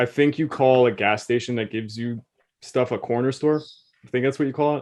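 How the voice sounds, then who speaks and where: Against a quiet background, a man with a normal speaking voice and medium pitch talks at a fairly quick pace with fairly even intonation. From Quebec, Canada (English-speaking). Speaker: podcast co-host. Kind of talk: casual chat.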